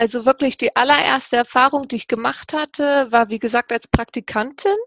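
Recorded dry and close with no echo, a woman speaks at a high pitch and moderate pace with ordinary pitch variation. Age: 30s. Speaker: engineer. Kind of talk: interview. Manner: hesitant, many fillers.

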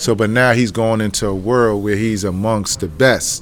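With a New York accent, a man speaks at a fairly slow pace. His pitch is fairly low, with ordinary pitch variation. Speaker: former college basketball player and youth coach. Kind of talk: interview. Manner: casual.

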